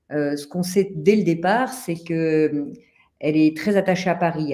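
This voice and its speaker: A woman's fairly low voice with a dark, mellow tone and lively intonation. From France. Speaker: author. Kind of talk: interview. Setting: live stream.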